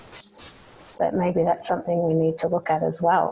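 Over noticeable background noise, a woman with an Australian accent speaks fairly slowly at a fairly low pitch. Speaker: podcast host. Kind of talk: interview. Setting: remote call.

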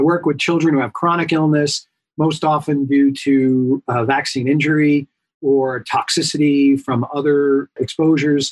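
A man in a New York accent speaks at a fairly high pitch and fairly slow pace, in a dry, close sound with no echo. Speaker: pediatrician. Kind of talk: interview.

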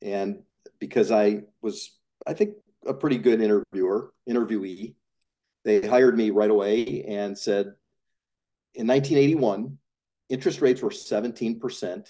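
With an American accent, a man speaks at a fairly slow pace with long, frequent pauses, his tone dark and mellow and his pitch variation ordinary. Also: medium pitch for a man. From Chicago suburbs (Highland Park). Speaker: industrial real estate investor. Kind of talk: casual interview.

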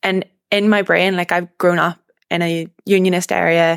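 A woman with a Northern Irish accent speaks at a moderate pace in a fairly low pitch. The sound is dry and close, with no echo. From Northern Ireland. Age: 20s. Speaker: young political activist and university student. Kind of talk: interview conversation.

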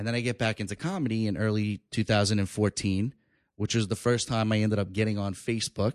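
A man with a New York accent talks very fast at a fairly low pitch with fairly even intonation. The sound is dry and close with no echo, over a quiet background. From New York, Long Island. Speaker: stand-up comedian. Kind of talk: casual chat. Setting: studio.

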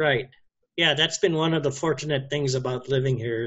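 In a Hawaiian accent, the voice sounds somewhat breathy, with fairly even intonation. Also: man. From Hawaii (Oahu, Wahiawa). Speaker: cyclist. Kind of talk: casual interview.

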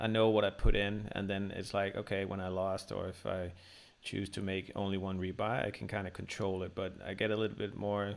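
A man's fairly low-pitched, monotone voice with flat intonation, a Danish accent and a fairly quick pace. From Denmark. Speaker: podcast host. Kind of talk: interview.

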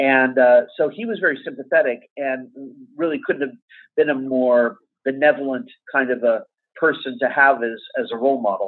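Speaking with an American accent, a man uses a normal speaking voice at medium pitch with ordinary pitch variation. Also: moderate pace. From Los Angeles, US. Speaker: composer. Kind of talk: interview. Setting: at home.

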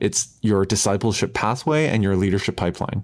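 With a Canadian accent, a man with a fairly low pitch speaks with ordinary pitch variation in a very clean recording with a silent background. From Canada. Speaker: pastor and author. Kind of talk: interview. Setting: call. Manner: animated.

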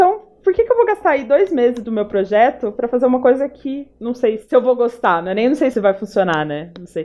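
Over noticeable background noise, a woman with a high-pitched voice talks fairly quickly, her pitch swinging very widely. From Paraná, Brazil. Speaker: UX designer. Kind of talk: casual chat.

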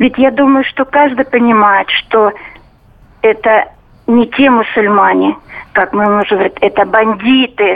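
A woman with a fairly high voice speaks fairly slowly and at a very even loudness, using fairly even intonation and long, frequent pauses. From Stavropol, southern Russia. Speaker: radio caller. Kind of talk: phone-in opinion.

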